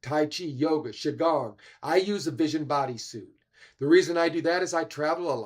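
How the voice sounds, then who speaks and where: In a plain, everyday voice, a man talks at a fairly high pitch and moderate pace on a very clean recording with a silent background. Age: 60s. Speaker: wellness and biohacking speaker. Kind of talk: livestream health talk.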